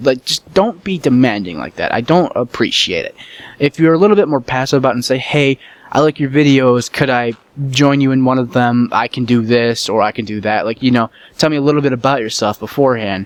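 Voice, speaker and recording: The speaker is a man with a medium pitch. He talks fairly quickly. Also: ordinary pitch variation. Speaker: gaming YouTuber. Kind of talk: casual commentary. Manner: relaxed.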